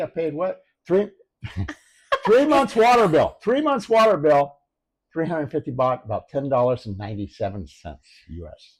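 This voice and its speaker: With an American accent, a man speaks in a fairly high pitch with very wide pitch swings. The recording is very clean, with a silent background. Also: big swings in loudness. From US. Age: 70s. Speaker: retiree and expat. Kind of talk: casual interview.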